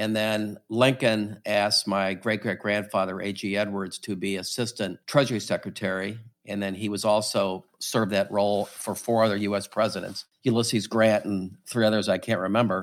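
On a very clean recording with a silent background, a man with an American accent talks at a moderate pace in a fairly low, monotone, flat voice. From St. Louis, Missouri. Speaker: company CEO. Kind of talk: casual interview.

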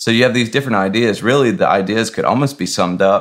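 With an American accent and a normal speaking voice, a man talks at a medium pitch with lively intonation on a very clean recording with a silent background. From US South. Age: 30s. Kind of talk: casual chat.

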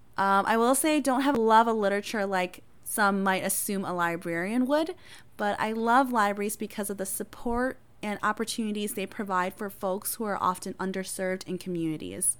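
In a very clean recording with a silent background, a woman with an American accent talks at a fairly quick pace. Her pitch is medium with ordinary variation, and she has a normal speaking voice. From Wisconsin (Appleton), Hmong family. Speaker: librarian and podcast host. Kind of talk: casual self-introduction.

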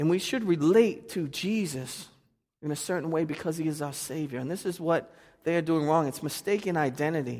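This man talks with a Boston accent at a moderate pace. His pitch is fairly high, with ordinary pitch variation. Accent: Boston, noticeable. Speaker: pastor. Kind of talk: sermon. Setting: church.

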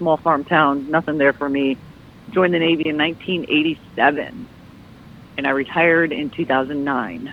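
A woman with an American accent, a very deep, low pitch, ordinary pitch variation and a fairly slow pace. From Michigan. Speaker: Navy veteran, nonprofit event director. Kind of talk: casual interview.

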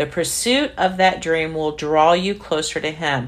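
Fairly low in pitch, a woman uses a normal speaking voice. Her pace is fairly slow. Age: 60s. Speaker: devotional podcast host. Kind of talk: casual testimony; reading aloud.

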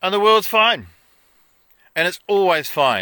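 Recorded dry and close with no echo on a very clean, silent background, a man with a New Zealand accent speaks in a bright, sharp tone. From New Zealand, Wairarapa. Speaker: self-help author and vlogger. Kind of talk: casual vlog monologue. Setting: outdoors.

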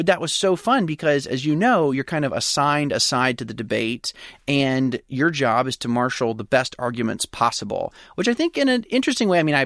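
Using a plain, everyday voice, a man with an American accent talks at a moderate pace in a fairly high pitch. The recording is very clean with a silent background, its sound dry and close with no echo. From US South, Pensacola, Florida. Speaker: startup founder. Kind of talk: interview.

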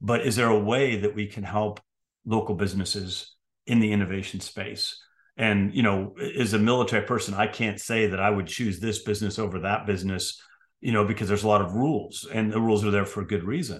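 Speaking at a fairly quick pace, a man with a fairly low pitch has a plain, everyday voice with a General American accent. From US West Coast, San Francisco. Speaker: retired military officer and professor. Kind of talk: interview conversation.

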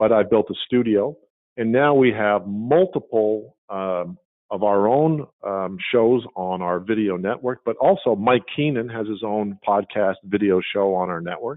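Speaking at a fairly slow pace, a man with an unremarkable speaking voice holds a fairly low pitch and ordinary pitch variation. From Montreal, Canada. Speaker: media company owner. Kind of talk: interview. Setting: video call.

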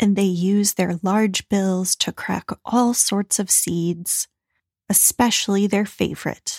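Very slow and somewhat breathy, a woman speaks in a gentle, calm tone at very even loudness. The sound is dry and close with no echo, on a very clean recording with a silent background. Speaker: meditation podcast host. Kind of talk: guided meditation. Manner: slow, calm, soothing, unhurried; soft, gentle, with long pauses.

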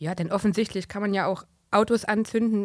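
Against the silent background of a very clean recording, a woman with an unremarkable speaking voice talks at a medium pitch and moderate pace, her intonation fairly even. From Thuringia, Germany. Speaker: podcast co-host. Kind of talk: political podcast chat. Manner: formal.

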